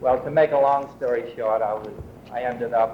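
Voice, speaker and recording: A man of medium pitch talks at a moderate pace over noticeable background noise. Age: 70s. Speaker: priest. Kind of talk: oral history interview, personal memories. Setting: museum storytelling event. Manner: halting, many fillers.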